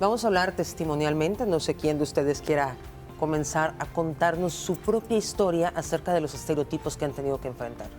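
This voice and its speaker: A woman's very deep, low voice at a fairly quick pace, with ordinary pitch variation and music in the background. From Mexico. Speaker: journalist, show host. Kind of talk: TV talk show hosting.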